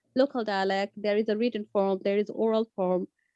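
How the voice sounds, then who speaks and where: A woman with a Bengali accent speaks at a moderate pace in a dark, mellow tone. The sound is dry with no echo, and the background is quiet. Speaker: community language teacher; teacher sharing classroom experience. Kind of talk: workshop discussion. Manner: halting. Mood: calm, reflective. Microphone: video call.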